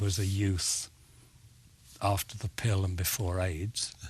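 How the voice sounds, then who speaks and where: A man speaks very slowly in a fairly low, somewhat breathy voice. His intonation stays fairly even. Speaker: actor. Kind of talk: interview answer.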